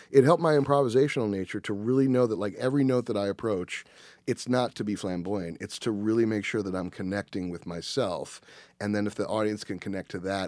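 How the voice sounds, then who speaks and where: A man speaks in an ordinary speaking voice at a fairly low pitch and fairly quick pace. His delivery has ordinary pitch variation on a very clean recording with a silent background. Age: 40s. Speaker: music arranger and conductor. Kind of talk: casual chat.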